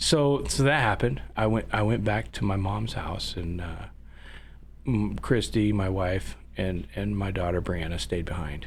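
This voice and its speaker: A man with an American accent talks at a fairly slow pace in a very deep, low pitch, his vocal fry and very wide pitch swings carried by audible room echo. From northern California. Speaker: business owner, former production manager. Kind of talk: casual chat. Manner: halting.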